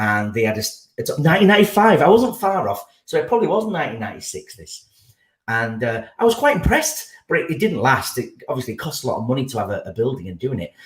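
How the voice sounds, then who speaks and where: A man talks at a very fast pace in a fairly high, somewhat breathy voice. His pitch swings very widely and his loudness rises and falls sharply. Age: 40s. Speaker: podcast guest. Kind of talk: casual chat. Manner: halting.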